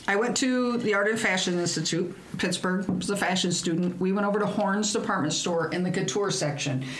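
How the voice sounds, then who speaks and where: A woman at a fairly quick pace and medium pitch, her loudness very even, with audible room echo and noticeable background noise. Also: ordinary pitch variation, hardly any pauses. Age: middle-aged. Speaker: podcast co-host. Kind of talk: casual chat.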